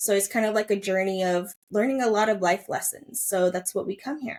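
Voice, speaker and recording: A woman with an American accent, medium in pitch and fairly even in intonation. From US, Chinese-American family. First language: Mandarin. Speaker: holistic coach. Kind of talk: podcast interview. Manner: casual, many fillers.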